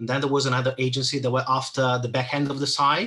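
A man with an Italian accent and a bright, sharp tone. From Italy. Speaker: SEO manager. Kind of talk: interview.

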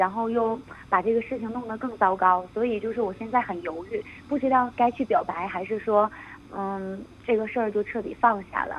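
A woman with a fairly high pitch and ordinary pitch variation talks at a moderate speed as noticeable noise sounds behind her. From Northeast China. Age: 20s. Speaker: student abroad. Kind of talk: phone-in confession.

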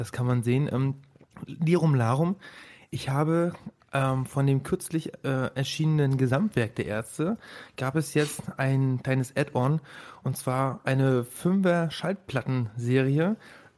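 Very slowly, a man speaks in a medium pitch with ordinary pitch variation. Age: 20s. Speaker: podcast host. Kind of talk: casual chat.

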